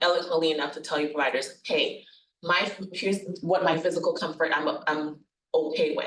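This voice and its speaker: A woman's unremarkable speaking voice, fairly low in pitch, with ordinary pitch variation and a fairly quick pace. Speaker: nurse practitioner presenting on hospice. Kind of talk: workshop presentation. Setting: workshop venue with live audience, also webinar.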